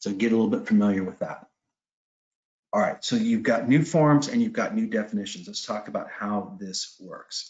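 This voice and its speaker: His pitch rises and falls across a very wide range. The man's voice carries vocal fry. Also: fairly high pitch for a man. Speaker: property manager. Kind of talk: webinar presentation. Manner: fast.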